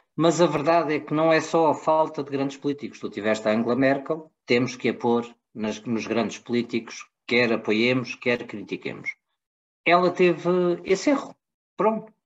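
With an ordinary speaking voice, a man talks at a moderate pace and a fairly high pitch, with lively intonation. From Portugal. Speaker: podcast co-host, political commentator. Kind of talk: political debate.

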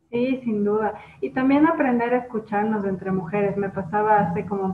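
A woman at a medium pitch talks with ordinary pitch variation while noticeable background noise carries on. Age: 30s. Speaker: podcast host. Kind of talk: interview.

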